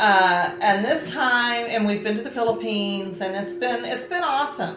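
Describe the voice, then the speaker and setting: At a moderate pace, a woman talks in a medium pitch, with noticeable background noise and audible room echo. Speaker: marriage and family ministry host. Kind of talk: casual chat.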